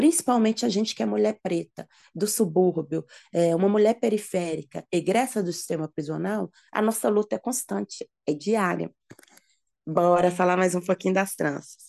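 A woman speaks at medium pitch and a moderate pace, her tone dark and mellow with some vocal fry. Her intonation is lively, and the sound is dry and close with no echo. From Minas Gerais, Belo Horizonte. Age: 30s. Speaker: braiding entrepreneur and former prisoner. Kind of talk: interview.

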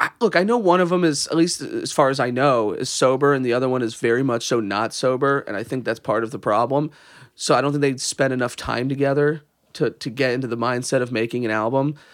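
Over a very clean recording with a silent background, a man talks at a very fast pace. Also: medium pitch for a man, ordinary pitch variation. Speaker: podcast co-host. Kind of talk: casual chat. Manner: tired, jokey.

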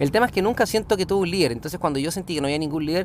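A man speaks with a Chilean accent and ordinary pitch variation. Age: 30s. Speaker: podcaster and small business owner. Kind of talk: casual monologue. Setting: in a car.

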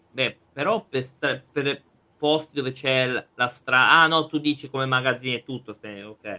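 This man has a normal speaking voice, talking at a moderate pace in a medium pitch with ordinary pitch variation. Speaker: podcast co-host. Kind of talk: casual chat.

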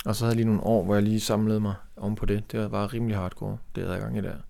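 A man talks at a fairly low pitch. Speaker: painter and artist. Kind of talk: casual chat.

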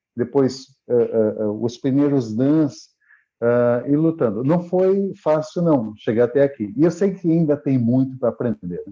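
Lively intonation carries the words along at a fairly slow pace. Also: man, medium pitch for a man. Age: 40s. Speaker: martial arts instructor. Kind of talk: interview. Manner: halting, with many repeated words.

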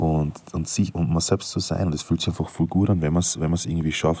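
This man talks at a fairly quick pace in a very deep, low voice with a dark, mellow tone and fairly even intonation. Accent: Styrian. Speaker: podcaster. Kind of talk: casual monologue. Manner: halting, many fillers.

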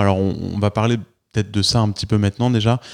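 With a plain, everyday voice, a man speaks at a fairly quick pace and a fairly low pitch. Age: 40s. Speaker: podcast host and entrepreneur. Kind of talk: interview. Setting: office.

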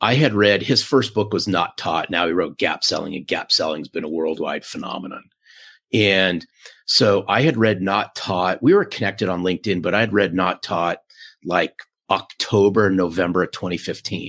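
A man at a fairly low pitch, moderate pace and ordinary pitch variation. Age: 50s. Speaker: sales author and podcaster. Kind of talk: interview. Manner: animated.

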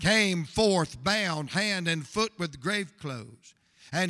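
The text is read aloud in a natural voice.

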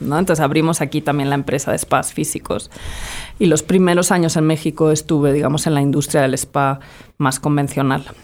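A woman talks at a fairly quick pace with a very deep, low pitch and very even loudness. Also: fairly even intonation. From Spain, Madrid. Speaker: entrepreneur. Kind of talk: interview.

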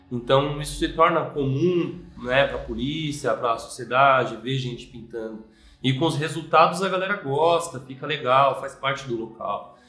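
With hardly any pauses, a man talks at a moderate pace in a fairly high pitch, using ordinary pitch variation. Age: 30s. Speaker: graffiti artist. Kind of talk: interview monologue. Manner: hesitant, filler-heavy.

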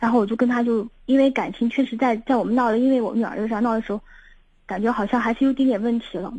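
A woman talks at a very fast pace with a dark, mellow tone. Her intonation is monotone and flat. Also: fairly high pitch for a woman. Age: 30s. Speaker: caller seeking relationship advice. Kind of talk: phone-in advice call. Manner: halting, repetitive.

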